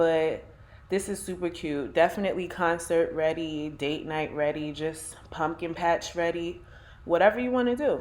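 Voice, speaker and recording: A woman talks in a Brooklyn accent at a moderate pace. Her pitch is fairly low, with ordinary variation. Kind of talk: casual talk to camera.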